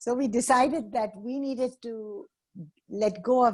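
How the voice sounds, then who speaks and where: A woman speaks in a somewhat breathy voice. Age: 60s. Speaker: social entrepreneur and activist. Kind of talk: webinar talk.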